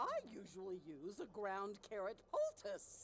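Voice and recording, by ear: Using a put-on character voice, a woman speaks fairly slowly at a medium pitch over clear background noise.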